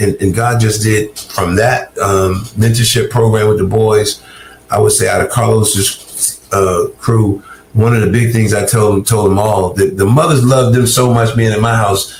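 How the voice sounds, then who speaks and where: With a Southern US accent, a man holds a medium pitch and very even loudness over noticeable background noise. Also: fairly even intonation, moderate pace. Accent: Southern US (Georgia). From US South, Augusta, Georgia. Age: 60s. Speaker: recovered addict turned ministry worker. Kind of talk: interview testimony. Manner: halting, frequent repetitions.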